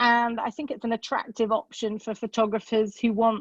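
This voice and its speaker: A woman with a British accent speaks at a fairly high pitch. The sound is dry and close with no echo, over a quiet background. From UK. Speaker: amateur bird photographer. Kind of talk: presentation. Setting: video call. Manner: hesitant, with many fillers.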